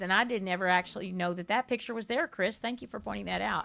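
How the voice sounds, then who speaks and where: Speaking in a South Texas accent, a woman has a medium pitch. Her intonation stays fairly even. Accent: Southern Texas. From US South, Texas. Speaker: game streamer. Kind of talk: casual chat. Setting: live stream.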